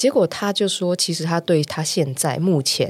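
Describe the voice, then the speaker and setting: The recording of this woman is very clean, with a silent background behind her. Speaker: talent agency founder. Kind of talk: interview. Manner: frequent loud laughter.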